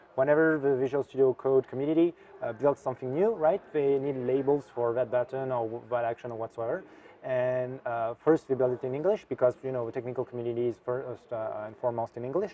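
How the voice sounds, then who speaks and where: Very fast speech in a French accent, with ordinary pitch variation and noticeable background noise. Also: man, medium pitch for a man. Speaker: software developer. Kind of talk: interview. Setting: tech conference. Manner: hesitant, many fillers.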